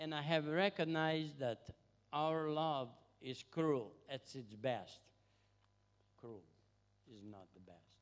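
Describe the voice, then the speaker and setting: A man speaks very slowly with long, frequent pauses, his intonation lively and his loudness swinging widely. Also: fairly high pitch for a man. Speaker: visiting missionary. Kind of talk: testimony.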